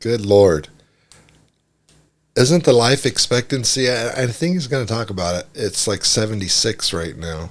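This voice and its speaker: A man's medium-pitched voice, fairly slow and lively in intonation, on a very clean recording with a silent background. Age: 60s. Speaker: reaction video creator. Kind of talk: casual commentary. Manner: conversational, hesitant.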